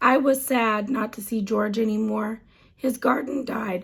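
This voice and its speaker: A raspy, female-sounding put-on character voice, fairly high in pitch, at a moderate pace. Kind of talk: children's story reading. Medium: read story. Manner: gentle, warm.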